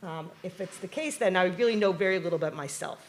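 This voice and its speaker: Noticeable background noise runs under a woman speaking at a fairly quick pace with a New York accent. Her pitch is medium, with ordinary variation. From New York, Long Island. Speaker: professor. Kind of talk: keynote talk. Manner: animated.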